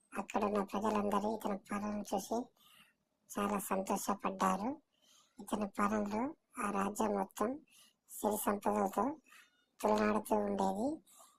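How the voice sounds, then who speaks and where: Using a put-on character voice, a woman speaks very slowly in a raspy, medium-pitched tone with fairly even intonation. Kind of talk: bedtime story. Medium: read story. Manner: halting, restarts words.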